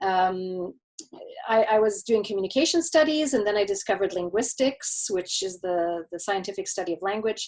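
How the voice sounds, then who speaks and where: With a Canadian accent, a woman talks at a fairly quick pace. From Quebec, Canada. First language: German. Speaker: marketing consultant. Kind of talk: interview. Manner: halting, many repeated words.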